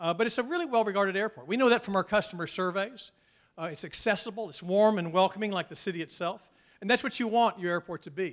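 A man talks at a very fast pace with a high pitch. His pitch varies in an ordinary way over a quiet background. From Nashville, Tennessee; Tennessee. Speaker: airport public affairs executive; guest. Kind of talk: keynote talk. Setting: stage with audience. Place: hall. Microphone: handheld.

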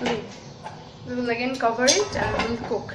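With audible room echo, a woman speaks at a moderate pace, her fairly high pitch showing ordinary variation.

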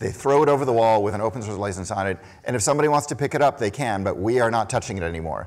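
The man talks at a very fast pace, with a medium pitch and ordinary pitch variation. The recording is very clean, with a silent background. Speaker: conference keynote speaker. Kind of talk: keynote talk. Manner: hesitant with many fillers.

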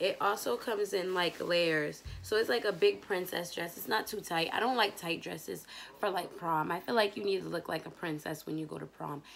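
Over light background noise, a woman talks at a fairly quick pace. Her fairly low voice carries vocal fry. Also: ordinary pitch variation. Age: 20s. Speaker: YouTuber doing product review. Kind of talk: casual vlog review. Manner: animated. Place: home room. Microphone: phone near.

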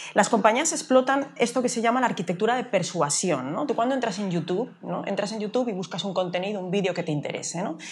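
A woman's very fast, lively-intoned speech with hardly any pauses. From Galicia, Spain (A Coruña); Galicia, Spain. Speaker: artificial intelligence expert; interviewee. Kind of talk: interview. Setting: café. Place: cafe. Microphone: lapel.

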